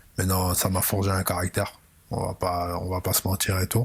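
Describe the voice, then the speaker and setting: The delivery is monotone, with flat intonation. The voice is somewhat breathy. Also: man. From Belgium, Brussels (Molenbeek). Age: 30s. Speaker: football coach. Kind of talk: interview.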